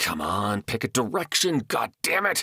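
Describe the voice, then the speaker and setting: Using a growling, put-on character voice, a man speaks at a moderate pace and medium pitch with very wide pitch swings. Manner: growling, frustrated.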